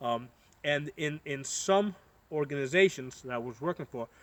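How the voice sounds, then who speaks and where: Recorded dry and close with no echo, a man with an American accent speaks at a fairly high pitch and a moderate pace. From United States. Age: 40s. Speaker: political commentator vlogger. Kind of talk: casual monologue. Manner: halting, many fillers and repetitions.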